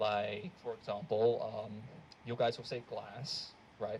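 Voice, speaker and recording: A man with an American accent speaks in a medium pitch. His voice is somewhat breathy, with ordinary pitch variation. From Australia. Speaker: student stand-up comedian. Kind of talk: stand-up. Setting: stage with audience.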